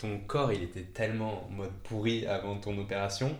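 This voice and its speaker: Somewhat breathy and fairly low in pitch, a man speaks at a fairly slow pace with fairly even intonation and audible room echo. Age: 20s. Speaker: podcast host, table tennis player. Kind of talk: interview.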